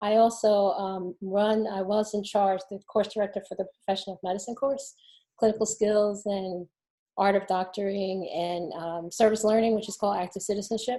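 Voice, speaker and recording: A woman with a New Jersey accent at medium pitch and moderate pace, monotone and flat, dark and mellow in tone, on a very clean recording with a silent background. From New Jersey, near Newark. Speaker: physician, medical school dean. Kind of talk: panel self-introduction.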